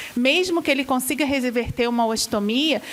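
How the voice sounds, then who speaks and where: A woman with a Rio de Janeiro accent talks at a moderate pace in a high voice. Noticeable background noise runs underneath. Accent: carioca (Rio de Janeiro). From Rio de Janeiro, Brazil. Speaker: gastroenterology professor and physician. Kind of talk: medical lecture to patients.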